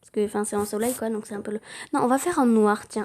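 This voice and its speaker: A woman talks at a fairly high pitch that varies in an ordinary way. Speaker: drawing tutorial youtuber. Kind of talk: tutorial.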